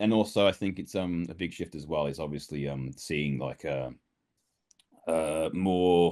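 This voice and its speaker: This man has a slight Brummie accent. He talks at a fairly slow pace. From Birmingham, England. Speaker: voice actor. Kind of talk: interview.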